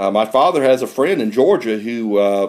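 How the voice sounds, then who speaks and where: Here a man speaks with an American accent. His pace is moderate and his pitch variation ordinary. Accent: redneck. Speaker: coin collecting youtuber. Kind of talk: casual video vlog. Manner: halting, many fillers; rambling.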